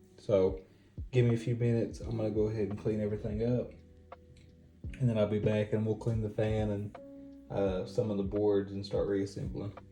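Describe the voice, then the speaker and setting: Long, frequent pauses over background music. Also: fairly quick pace. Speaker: console restoration YouTuber. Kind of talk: casual tutorial narration.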